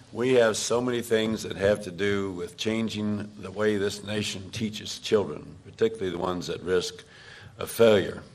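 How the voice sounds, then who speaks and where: A man's fairly low voice with fairly even intonation, a moderate pace and audible room echo. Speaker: panelist. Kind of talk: town hall panel discussion. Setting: public meeting with audience.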